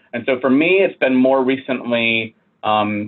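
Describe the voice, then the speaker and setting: This man has a normal speaking voice at a medium pitch. He talks at a fairly slow pace. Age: 30s. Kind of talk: interview conversation.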